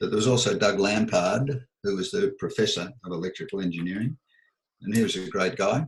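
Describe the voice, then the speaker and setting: A man with an Australian accent speaks at a moderate pace in a fairly low, somewhat breathy voice with ordinary pitch variation. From Melbourne, Australia. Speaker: audio and acoustics engineer. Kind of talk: oral history interview answer.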